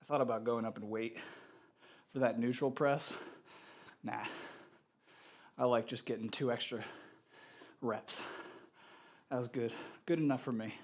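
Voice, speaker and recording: Long, frequent pauses mark a man's speech in a medium pitch with fairly even intonation, on a very clean recording with a silent background. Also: moderate pace. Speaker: fitness streamer. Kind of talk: live workout stream. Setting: home gym, live stream. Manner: louder than usual, near normal volume; casual, chatty.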